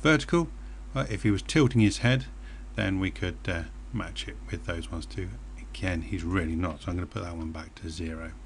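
A man's very deep, low voice in a British accent, with vocal fry, very wide pitch swings and a fairly quick pace. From Britain. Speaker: software tutorial presenter. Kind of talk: screencast tutorial.

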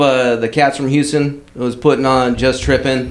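Speaking at a moderate pace with an American accent, a man is heard against noticeable background noise. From Southern California. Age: 40s. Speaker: car club member. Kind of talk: casual chat. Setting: home.

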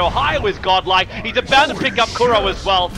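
A very fast-talking man with ordinary pitch variation over background music. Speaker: esports caster. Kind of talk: live play-by-play esports commentary calling a teamfight. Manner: rapid-fire, breathless stream of hero and ability callouts; excitable, with sudden exclamations mid-fight.

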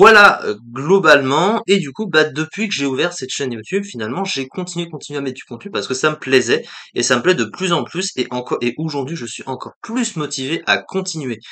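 A man's fairly high pitch and lively intonation at a fairly quick pace, over a quiet background. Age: 20s. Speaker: YouTuber, let's play gamer. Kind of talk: channel presentation vlog to camera; casual vlog chat. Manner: halting, many fillers. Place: home room. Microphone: webcam.

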